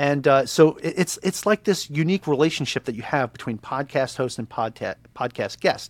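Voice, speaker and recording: Speaking in an American accent with a plain, everyday voice, a man keeps a moderate pace, a fairly high pitch and ordinary pitch variation, recorded with a dry, close sound with no echo. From Long Island, New York. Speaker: podcast host and real estate agent, Navy veteran. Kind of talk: casual interview chat.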